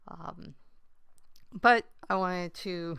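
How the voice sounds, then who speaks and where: With a very clean recording and a silent background, this woman's tone is bright and sharp. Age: 40s. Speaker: let's play gamer. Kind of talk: gameplay commentary. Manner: hesitant, many fillers.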